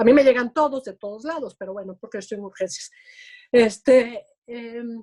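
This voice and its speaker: A woman's fairly high-pitched voice with a dark, mellow tone, big swings in loudness, ordinary pitch variation and a moderate pace. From Venezuela, Caracas. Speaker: emergency physician. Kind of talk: interview.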